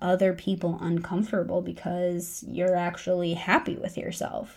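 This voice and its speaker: The voice is a plain, everyday voice at a moderate pace. The recording is very clean, with a silent background. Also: woman. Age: 30s. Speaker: podcast host, dietitian. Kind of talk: solo podcast pep talk.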